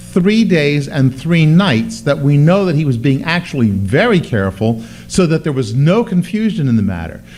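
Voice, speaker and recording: Noticeable background noise sits behind a man talking at a moderate pace. His pitch swings very widely. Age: 60s. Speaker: pastor. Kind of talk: bible class teaching. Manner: halting.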